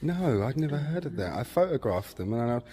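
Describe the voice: A man's medium-pitched voice with a dark, mellow tone, big pitch swings and a fairly quick pace.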